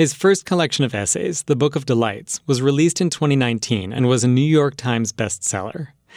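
In an ordinary speaking voice, a man talks at a fairly quick pace with hardly any pauses, on a very clean recording with a silent background. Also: medium pitch for a man, lively intonation. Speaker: radio host. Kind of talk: scripted radio hosting. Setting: studio. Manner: clear and measured.

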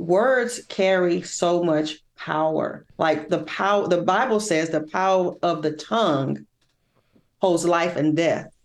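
A woman with an unremarkable speaking voice talks at a fairly slow pace and fairly low pitch, with ordinary pitch variation. The background is quiet. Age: 50s. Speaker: spoken word poet and event founder. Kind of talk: casual chat.

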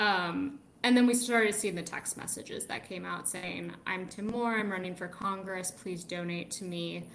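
A woman with a normal speaking voice and a medium pitch talks at a moderate pace with hardly any pauses. Her pitch variation is ordinary, and her loudness swings widely. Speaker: political reporter. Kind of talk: radio news roundup.

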